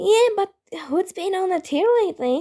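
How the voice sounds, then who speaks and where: A woman's put-on character voice, squeaky and extremely high, with lively intonation at a moderate pace. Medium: read story. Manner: nervous, rough street talk.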